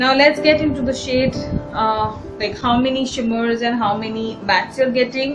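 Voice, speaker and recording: Against noticeable background noise and audible room echo, a woman speaks fairly slowly in a high voice with fairly even intonation. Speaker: beauty vlogger. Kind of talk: product review tutorial.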